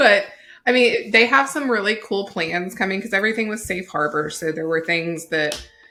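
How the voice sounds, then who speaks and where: Over music in the background, a woman with a Southern US accent talks at a moderate pace, her medium pitch carried by lively intonation. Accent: Southern US, says y'all. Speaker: podcast co-host. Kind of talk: casual chat.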